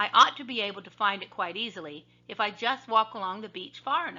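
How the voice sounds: With ordinary pitch variation, a natural reading voice carries the text.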